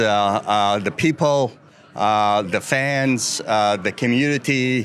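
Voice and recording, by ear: A man's medium-pitched voice comes through with a clear, smooth, fairly bright tone and ordinary pitch variation.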